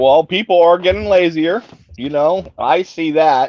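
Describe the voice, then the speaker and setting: In a plain, everyday voice, a man speaks at a moderate pace with ordinary pitch variation. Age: 60s. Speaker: caller on livestream. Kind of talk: casual chat.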